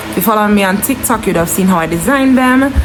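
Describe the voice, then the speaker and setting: Music plays in the background of this recording, which carries audible room echo. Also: woman. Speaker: vlogger. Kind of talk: casual vlog talk. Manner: fast.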